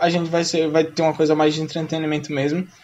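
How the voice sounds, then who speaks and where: Noticeable background noise behind a fairly high-pitched male voice. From Brazil, Sergipe. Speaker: podcast co-host, school English teacher. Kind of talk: casual chat.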